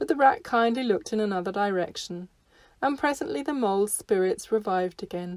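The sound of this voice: The speaker uses an unforced reading voice.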